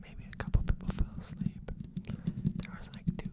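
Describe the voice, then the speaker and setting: Moderately paced whispering from a man amid noticeable background noise. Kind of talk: casual live-stream talk to viewers. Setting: live-stream at a desk with monitor.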